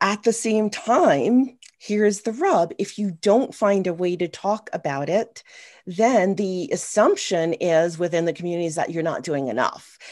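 A woman at a fairly slow pace with lively intonation and an American accent, over a quiet background. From US Northeast, New York City. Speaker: army veteran and paddle sports media producer; guest. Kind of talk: panel discussion. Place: home room. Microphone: webcam.

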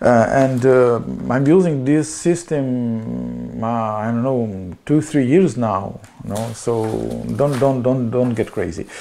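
The speech is very slow, with ordinary pitch variation and a Slovenian accent. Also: man. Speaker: small electronics seller. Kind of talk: product demonstration. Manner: halting. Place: office.

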